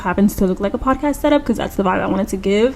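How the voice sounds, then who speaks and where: Here a woman speaks at a medium pitch. Her pitch varies in an ordinary way. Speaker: YouTuber starting a podcast. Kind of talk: casual chat to camera. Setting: home podcast-style setup. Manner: stumbling, restarts words.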